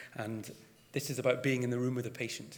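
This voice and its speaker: A man with a Scottish accent talks at a fairly quick pace, and the room echo is audible. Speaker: GP and GP trainer. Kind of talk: conference presentation. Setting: stage with audience.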